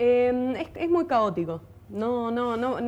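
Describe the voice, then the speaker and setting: In a Rioplatense accent, a woman speaks at a high pitch with a dark, mellow tone. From Buenos Aires, Argentina. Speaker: folk singer and violinist. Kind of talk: interview. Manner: halting, many repetitions.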